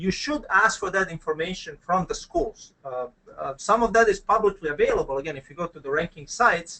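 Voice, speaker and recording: A man with a Croatian accent talks at a high pitch and fairly quick pace, with hardly any pauses. His intonation is lively and his loudness swings widely. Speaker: business school dean. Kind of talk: webinar presentation. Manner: hesitant, many fillers.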